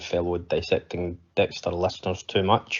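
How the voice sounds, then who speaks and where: A man's very deep, low voice in a Scottish accent, flat and monotone. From Scotland. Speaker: podcast listener leaving voicemail. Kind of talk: voicemail feedback. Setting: voicemail recording. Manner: hesitant, many fillers.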